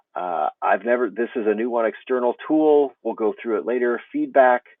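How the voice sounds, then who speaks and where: In an ordinary speaking voice, a man with a medium pitch and an American accent talks at a moderate pace with ordinary pitch variation, the sound dry with no echo against a quiet background. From United States. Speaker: teacher trainer. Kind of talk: tutorial. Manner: casual, with fillers.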